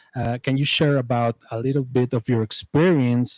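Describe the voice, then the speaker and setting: With a Spanish accent, a man speaks at a medium pitch and a fairly slow pace with fairly even intonation. The sound is dry and close with no echo, on a very clean recording with a silent background. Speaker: interviewer. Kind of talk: interview. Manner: halting.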